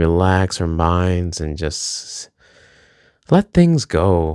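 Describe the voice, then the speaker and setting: A man with an American accent speaks at a very deep, low pitch on a very clean recording with a silent background. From Minnesota. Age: 30s. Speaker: vlogger. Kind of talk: casual monologue vlog. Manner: rambling with many fillers.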